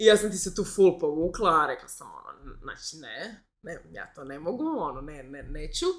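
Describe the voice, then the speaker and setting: Her loudness swings widely as the woman keeps a moderate pace with hardly any pauses. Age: 30s. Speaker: entrepreneur and yoga instructor. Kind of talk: casual chat.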